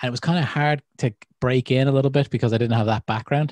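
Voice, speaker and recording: The sound is dry and close, with no echo. The speaker has an Irish accent. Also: man. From Ireland. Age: 30s. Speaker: podcast host. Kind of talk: casual chat. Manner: animated.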